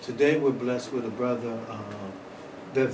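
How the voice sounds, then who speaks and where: Fairly even intonation amid audible room echo and noticeable background noise. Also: man. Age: 60s. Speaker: museum event host. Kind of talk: moderated public conversation. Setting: museum event with audience.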